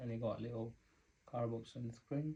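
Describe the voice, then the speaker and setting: A somewhat breathy man speaks in a dark, mellow tone with fairly even intonation. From Spain or Spanish-speaking country. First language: Spanish. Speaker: vlogger. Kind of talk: unboxing tutorial. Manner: casual, conversational.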